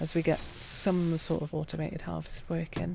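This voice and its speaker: A soft-spoken woman talks at a moderate pace. Her tone is calm. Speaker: gaming streamer. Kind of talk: gameplay commentary. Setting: live stream.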